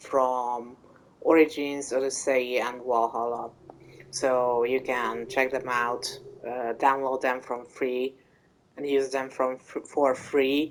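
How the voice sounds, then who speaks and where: In a Hungarian accent, a woman speaks at a very slow pace with a very deep, low pitch. Her intonation is monotone and flat. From Hungary. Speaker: gaming YouTuber. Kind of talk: casual gameplay commentary. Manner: hesitant, many fillers.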